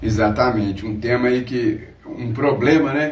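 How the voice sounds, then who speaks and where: A man's voice over noticeable background noise. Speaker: radio host. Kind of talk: radio talk show interview.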